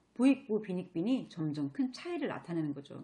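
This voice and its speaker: The tone is dark and mellow, the pace moderate, and the pitch swings very widely. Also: woman. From Chungcheong, South Korea. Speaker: network marketing presenter. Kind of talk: motivational seminar talk. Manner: animated.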